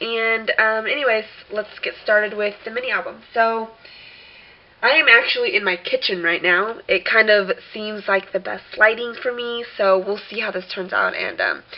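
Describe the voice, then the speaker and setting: A woman's fairly high voice with fairly even intonation at a moderate pace, over noticeable background noise. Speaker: crafter selling handmade albums. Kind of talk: tutorial. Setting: home kitchen. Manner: casual, hesitant with many fillers.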